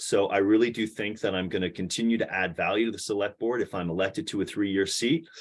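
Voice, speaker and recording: Hardly any pauses break this man's very fast speech. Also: quiet background. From Vermont, Orange County. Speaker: local election candidate. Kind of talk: candidate speech at forum. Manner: halting with many fillers.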